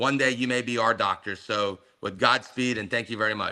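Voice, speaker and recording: Speaking fairly quickly, a man uses a medium-pitched, bright, sharp voice with fairly even intonation. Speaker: medical school founder. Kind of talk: webinar presentation. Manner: fast.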